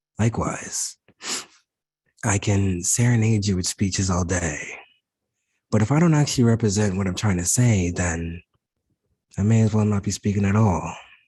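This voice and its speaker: A man's fairly low, dark, mellow, somewhat breathy voice at a moderate pace, with ordinary pitch variation and a quiet background. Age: 20s. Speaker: motivational speaker, spoken word presenter. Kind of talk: inspirational spoken word presentation to health care professionals.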